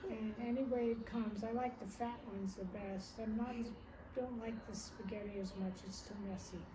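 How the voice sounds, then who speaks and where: Speaking with an American accent at a moderate pace, a woman uses fairly even intonation and fairly high pitch, with audible room echo and noticeable background noise around her. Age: 80s+. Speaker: retired nurse, grandmother. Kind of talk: family interview. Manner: halting.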